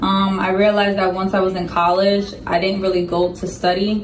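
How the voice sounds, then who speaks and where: A woman's medium-pitched voice with audible room echo and music in the background. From Dominican Republic. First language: Spanish. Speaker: Marine sergeant, recruiter. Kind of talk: interview.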